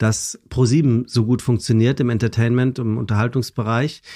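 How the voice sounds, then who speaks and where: Over a quiet background, a man with an unremarkable speaking voice talks at medium pitch and a moderate pace. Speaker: presenter and podcaster. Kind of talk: casual chat.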